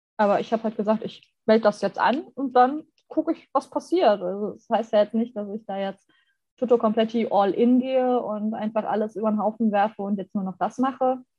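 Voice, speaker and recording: Her voice is somewhat breathy and fairly high in pitch. This woman speaks at a fairly quick pace. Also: ordinary pitch variation. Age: 30s. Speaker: graphic designer. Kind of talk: casual chat.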